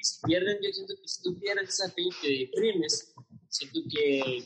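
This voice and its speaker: A man with a northern Mexican accent at a moderate pace. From Mexico, Nuevo León (Monterrey area). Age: 30s. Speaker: salesman and stage actor. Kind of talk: casual chat. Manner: halting, many fillers.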